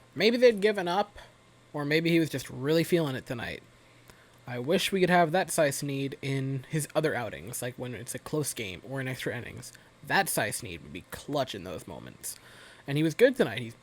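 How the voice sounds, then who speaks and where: Speaking at a moderate pace, a man with a fairly high pitch uses lively intonation, vocal fry and big swings in loudness. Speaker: baseball fan commentator. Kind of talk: casual talk to camera game recap. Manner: low-energy, halting, some stuttering.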